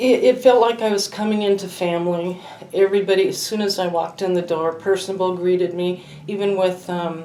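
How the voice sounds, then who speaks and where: Over noticeable background noise, a woman at a medium pitch speaks at a fairly quick pace with fairly even intonation. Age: 60s. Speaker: patient giving testimonial. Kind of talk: testimony.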